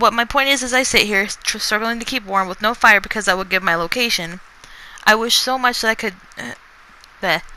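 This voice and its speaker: At a fairly quick pace, a woman with a fairly high pitch and ordinary pitch variation talks over noticeable background noise. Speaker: author. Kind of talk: reading aloud; casual chat. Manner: fast; halting.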